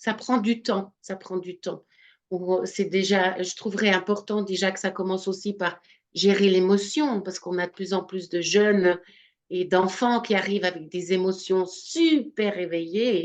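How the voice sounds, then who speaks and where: Speaking with a slight Swiss French accent, a woman uses a medium pitch, ordinary pitch variation and a fairly slow pace. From Switzerland, Swiss Jura. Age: 60s. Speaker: spiritual medium. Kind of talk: interview. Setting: live video stream.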